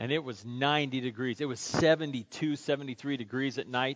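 The intonation stays fairly even. It is plain reading aloud.

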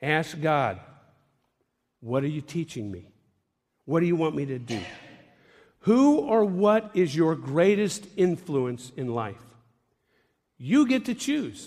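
A man's fairly high voice with very wide pitch swings, very slow and broken by long, frequent pauses. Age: 60s. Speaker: pastor. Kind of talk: sermon.

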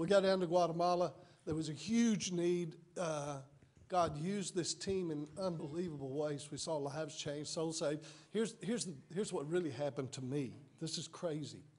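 A man speaks in a plain, everyday voice. His pitch is fairly high and his pace moderate. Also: ordinary pitch variation. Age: 60s. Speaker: missionary. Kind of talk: testimony. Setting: church.

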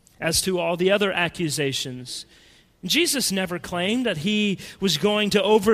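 The intonation shows ordinary pitch variation in an unforced reading voice.

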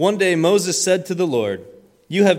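Vocal fry from a man at a moderate pace. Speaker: youth leader. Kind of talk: church announcements and prayer. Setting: church. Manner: hesitant, many fillers.

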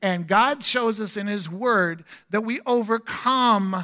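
In a very clean recording with a silent background, a man projects a raised, bright, sharp voice at a high pitch with ordinary pitch variation. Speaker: guest pastor. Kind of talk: sermon. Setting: church.

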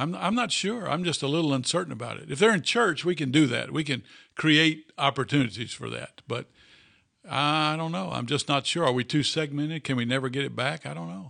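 A man with a fairly high pitch, a bright, sharp tone and vocal fry at a fairly quick pace against a quiet background. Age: 60s. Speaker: pastor. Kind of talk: casual chat. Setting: office.

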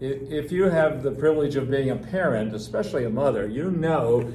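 A man talks at a moderate pace with a fairly high pitch and lively intonation. Room echo is audible. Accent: American. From Pennsylvania (Harrisburg). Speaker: pastor and church coach. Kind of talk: sermon discussion.

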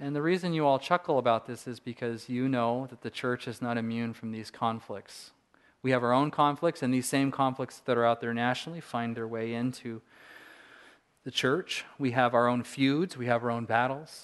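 A man with a Californian accent and fairly even intonation, against a quiet background. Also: medium pitch for a man, moderate pace. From Southern California. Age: 40s. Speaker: pastor. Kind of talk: sermon.

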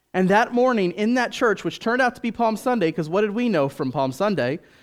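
A man's high-pitched voice with lively intonation and an American accent, on a very clean recording with a silent background. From US, Washington DC. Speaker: missionary. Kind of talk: sermon.

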